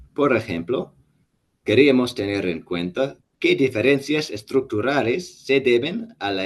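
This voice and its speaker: Here a man talks at a very slow pace. His pitch is medium, and he speaks in an English accent. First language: English (speaking Spanish). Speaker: statistics professor. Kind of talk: lecture. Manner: halting, frequent self-corrections.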